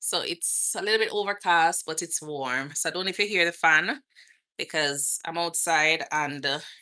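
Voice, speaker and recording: A woman with a Jamaican accent speaks in a fairly low pitch with a bright, sharp tone, ordinary pitch variation and a moderate pace, over a quiet background. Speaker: nurse and lifestyle vlogger. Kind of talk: live stream Q&A chat. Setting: outdoors.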